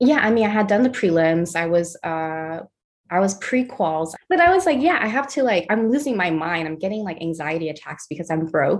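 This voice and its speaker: Lively intonation marks this woman's fairly quick speech. She has a Californian accent and a medium pitch. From US West Coast (Los Angeles, San Pedro). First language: Mandarin. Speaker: artist and art director. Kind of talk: casual interview.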